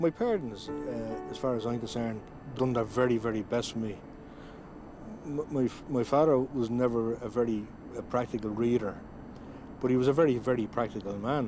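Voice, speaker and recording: A man with a Dublin accent talks at a fairly quick pace in a medium pitch, with ordinary pitch variation and long, frequent pauses. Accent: Dublin Irish. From Ireland, Dún Laoghaire, County Dublin. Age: 50s. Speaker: adult literacy learner. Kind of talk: documentary interview. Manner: halting, repeats words.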